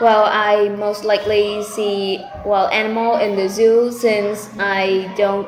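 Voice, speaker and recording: A woman's medium-pitched voice, monotone and flat, at a fairly slow pace amid noticeable background noise and audible room echo. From Vietnam, Ho Chi Minh City. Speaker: IELTS test candidate. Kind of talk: mock speaking exam answers. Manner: halting, with many fillers.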